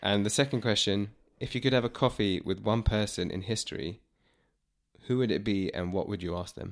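Over a silent background in a very clean recording, a man talks at a fairly quick pace with a fairly low pitch and ordinary pitch variation. He has an ordinary speaking voice. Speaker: podcast host. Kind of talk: interview. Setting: studio, face to face.

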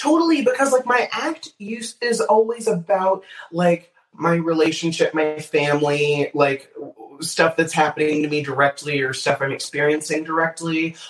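Here is a plain, everyday voice at a moderate pace. The intonation is lively. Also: man, fairly high pitch for a man. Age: 20s. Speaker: stand-up comedian. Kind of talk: casual chat.

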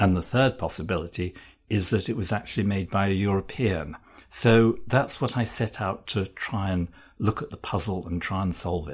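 Over a very clean recording with a silent background, a man with a fairly low pitch and a somewhat breathy voice talks at a moderate pace with ordinary pitch variation. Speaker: art journalist. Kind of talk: interview. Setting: office. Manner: halting, many fillers.

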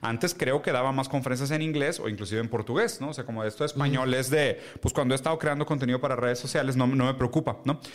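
His pitch is fairly high and varies in an ordinary way. The man talks very fast. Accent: Mexican. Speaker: podcast co-host. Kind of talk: casual chat.

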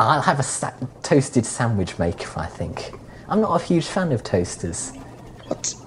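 Noticeable background noise sits behind a speaker who keeps a moderate pace. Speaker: podcast co-host. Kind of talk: casual banter chat. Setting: video call recording.

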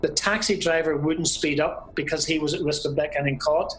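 A man talks with a Belfast accent. Noticeable background noise can be heard. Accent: Belfast Northern Irish. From Northern Ireland, Belfast. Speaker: former car salesman and stage crew worker. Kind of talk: interview storytelling.

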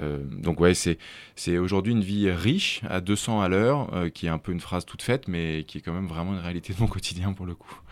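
A man speaks at a moderate pace in a very deep, low voice with hardly any pauses and big swings in loudness. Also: ordinary pitch variation, very clean recording, silent background. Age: 30s. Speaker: entrepreneur in adventure travel, former finance worker. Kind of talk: interview conversation. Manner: hesitant, many fillers.

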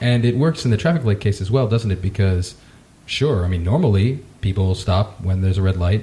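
Speaking at a very fast pace, a man with a fairly low pitch and a dark, mellow tone sounds somewhat breathy, with ordinary pitch variation. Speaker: podcast host. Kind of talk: interview conversation.

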